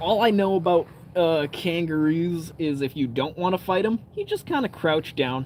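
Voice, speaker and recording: Fairly high in pitch, a man talks with an American accent and a relaxed tone. His pitch variation is ordinary. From Canada. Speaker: outdoor live streamer. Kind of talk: casual live stream chat. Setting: outdoors by a campfire at night. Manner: relaxed, casual.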